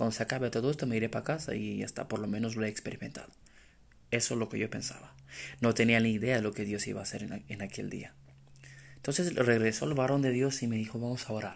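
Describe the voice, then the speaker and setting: A man races through his words very fast, his medium pitch varying in an ordinary way. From Romania. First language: Romanian (speaking Spanish). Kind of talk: testimony. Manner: halting.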